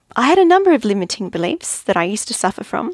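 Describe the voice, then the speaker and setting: A woman with an Australian accent is heard in a dry, close sound with no echo, on a very clean recording with a silent background. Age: 50s. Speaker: podcast host, life coach. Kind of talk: monologue podcast, personal development talk.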